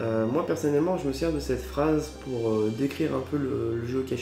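Clear music plays in the background with audible room echo. Over it, a man talks at a moderate pace. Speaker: geocaching youtuber. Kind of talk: casual vlog chat. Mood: cheerful, festive. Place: home room. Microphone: camera far.

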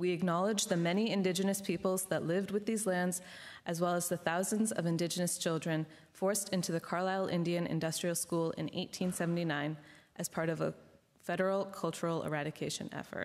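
The voice moves at a fairly quick pace in a monotone, flat intonation. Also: woman, fairly low pitch for a woman. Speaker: student event moderator. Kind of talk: formal event introduction. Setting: stage with audience. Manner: formal. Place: hall. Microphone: podium.

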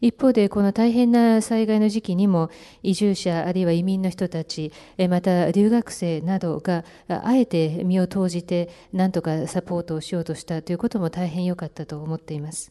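A woman speaks in a dark, mellow tone against a quiet background. Her pace is moderate, with ordinary pitch variation. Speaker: interpreter. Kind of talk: consecutive interpretation. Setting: press conference. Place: hall. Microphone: podium.

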